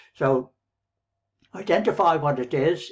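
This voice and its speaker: This man has an Irish accent and a fairly high pitch. He speaks at a fairly slow pace. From Ireland, near Dublin. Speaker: online business coach. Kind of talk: motivational talk to camera. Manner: rambling, conversational.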